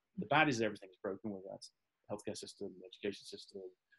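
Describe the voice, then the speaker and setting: A man with a Midlands accent speaks at a very fast pace. His pitch is fairly low. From English Midlands, Staffordshire. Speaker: futurist and author. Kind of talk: interview conversation.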